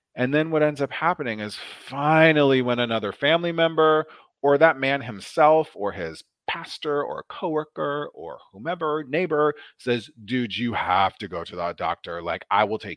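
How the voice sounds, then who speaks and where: Talking at a moderate pace, a man with an American accent and an unremarkable speaking voice uses a fairly high pitch, lively intonation and big swings in loudness. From Nebraska, US Midwest. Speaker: nurse practitioner. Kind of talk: casual interview chat about health. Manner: lively, humorous.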